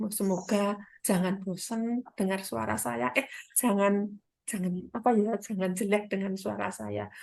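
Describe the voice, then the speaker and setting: Speaking at a fairly slow pace with a Central Javanese accent, a woman uses a medium pitch and very wide pitch swings. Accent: Central Javanese Indonesian. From Central Java, Kendal. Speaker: midwife and business partner. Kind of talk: testimony. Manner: animated.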